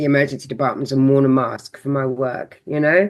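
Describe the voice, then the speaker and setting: A woman talks with a southern English accent. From southern England (Seaford, south coast; born London). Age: 60s. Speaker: holistic counsellor. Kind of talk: podcast interview, personal story. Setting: podcast conversation. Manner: animated.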